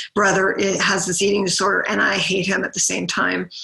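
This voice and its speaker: A woman at a medium pitch speaks with monotone, flat intonation over noticeable background noise. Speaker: sibling advocate and educator. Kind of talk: conference presentation. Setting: virtual conference. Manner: hesitant, many fillers.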